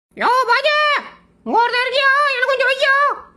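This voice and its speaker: A put-on character voice at an extremely high pitch, very fast and monotone with flat intonation. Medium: fan dub. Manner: impatient, pushy.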